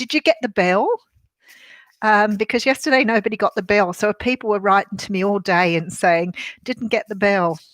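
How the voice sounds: Recorded with a dry, close sound and no echo, a husky woman with an Australian accent talks at a moderate pace in a medium pitch with ordinary pitch variation.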